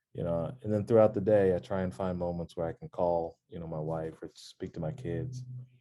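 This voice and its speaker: A man's very deep, low voice with a dark, mellow tone, ordinary pitch variation, a fairly quick pace and hardly any pauses. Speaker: vascular surgeon. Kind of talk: interview conversation. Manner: halting.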